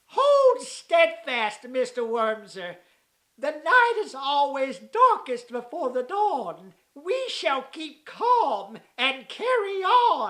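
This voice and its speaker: A cartoonish character voice, high-pitched, speaks at a very slow pace with very wide pitch swings. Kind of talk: old-fashioned formal diction. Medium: puppet show. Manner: pompous, genteel.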